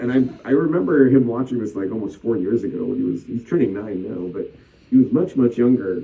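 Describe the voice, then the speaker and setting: Speaking a bit quickly with a Canadian accent, a man has a plain, everyday voice at medium pitch with ordinary pitch variation. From Scarborough, Ontario, Canada. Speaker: voice actor. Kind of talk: interview answer. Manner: casual, anecdotal.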